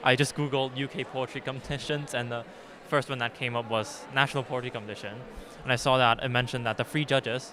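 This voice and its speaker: A very fast man with a Cantonese accent, medium pitch and monotone, flat intonation. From Hong Kong. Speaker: poet. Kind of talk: interview. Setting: festival. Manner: halting.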